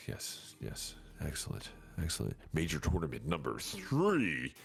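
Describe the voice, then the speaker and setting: A man talks at a moderate pace with a very deep, low pitch and vocal fry. His intonation is lively. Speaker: gaming streamer. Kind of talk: casual chat. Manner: animated.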